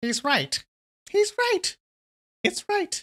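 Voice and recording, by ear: This is a put-on character voice, squeaky and at an extremely high pitch. It moves in very wide pitch swings.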